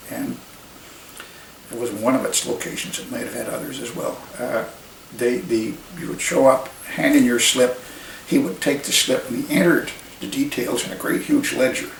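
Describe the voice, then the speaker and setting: A man at a moderate pace, with big swings in loudness and long, frequent pauses, amid noticeable background noise. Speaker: retired army major. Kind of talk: oral history interview answer. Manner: hesitant, conversational.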